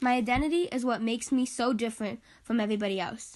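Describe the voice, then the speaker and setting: A woman with an American accent speaks at a fairly quick pace in a high pitch. Her pitch varies in an ordinary way against a quiet background. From military family; England, Korea, Japan, then Las Vegas. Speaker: university student. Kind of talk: class project self-presentation, read aloud.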